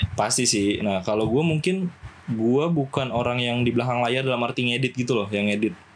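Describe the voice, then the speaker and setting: A man with an unremarkable speaking voice talks at a fairly quick pace and a medium pitch. His loudness stays very even, with ordinary pitch variation. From Java, Indonesia. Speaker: film restoration worker. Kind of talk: casual chat.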